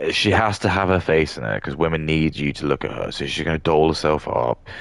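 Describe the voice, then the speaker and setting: A man's very deep, low voice with an English accent and ordinary pitch variation. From England. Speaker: gaming streamer. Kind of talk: casual livestream rant. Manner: halting.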